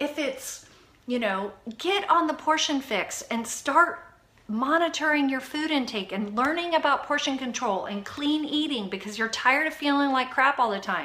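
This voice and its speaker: A woman with a high pitch speaks in an animated tone, her pitch swinging very widely over noticeable background noise. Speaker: fitness coach. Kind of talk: live video chat. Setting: home live stream. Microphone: Wi-Fi issues.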